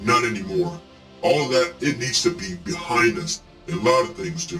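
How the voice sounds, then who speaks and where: Over loud music in the background, a man performs a put-on character voice at a high pitch. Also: moderate pace. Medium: audio drama. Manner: earnest, gentle.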